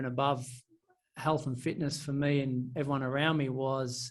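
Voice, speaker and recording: A man with an Australian accent talks at a moderate pace in a fairly high pitch. His intonation is monotone and flat, and audible room echo fills the recording. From country Victoria, Australia. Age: 30s. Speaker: property and finance coach. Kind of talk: podcast interview. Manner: hesitant, many fillers.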